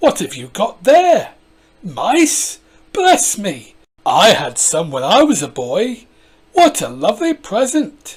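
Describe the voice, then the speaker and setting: Pitched fairly high, this is a put-on character voice. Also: fairly slow pace. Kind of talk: sermon-like church voice. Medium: read story.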